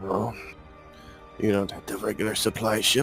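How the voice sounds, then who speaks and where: A man puts on a raspy character voice, fairly low in pitch, with monotone, flat intonation at a moderate pace. Music plays clearly in the background. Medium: actual play.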